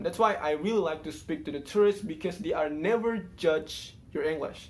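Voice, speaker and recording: Speaking at a fairly quick pace with an Indonesian accent, a man shows ordinary pitch variation. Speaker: YouTuber, English learner. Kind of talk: casual vlog monologue. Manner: halting, many fillers.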